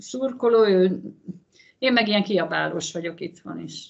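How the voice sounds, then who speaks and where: This woman talks at a moderate pace and a medium pitch. The background is quiet. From Hungary. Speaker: former handball player, mother of athlete; interviewee. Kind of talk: interview. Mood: light, amused. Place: home room. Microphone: video call.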